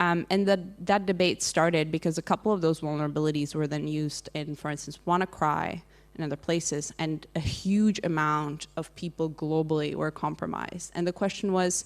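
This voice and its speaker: A woman with a Czech accent speaks at a moderate pace in a very deep, low voice. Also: very clean recording, silent background. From Czech Republic. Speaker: digital rights advocate. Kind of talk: panel discussion. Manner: halting, many fillers.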